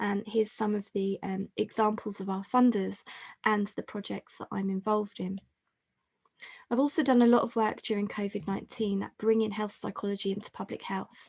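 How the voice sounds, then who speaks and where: A woman speaks at a medium pitch and a fairly quick pace, her delivery monotone and flat. Her voice is somewhat breathy, and the sound is dry and close with no echo. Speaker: health psychology professor. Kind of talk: webinar talk. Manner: fast.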